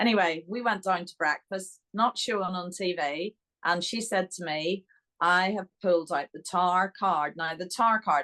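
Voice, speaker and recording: Speaking with a Northern Irish accent, a woman at medium pitch keeps a moderate pace, a bright, sharp tone and ordinary pitch variation in a dry, close sound with no echo. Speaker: interview guest.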